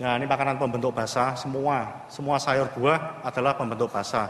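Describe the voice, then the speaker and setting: Against light background noise and audible room echo, a man speaks at a fairly quick pace. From Indonesia. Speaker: naval physician; conference presenter. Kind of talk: conference presentation. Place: hall.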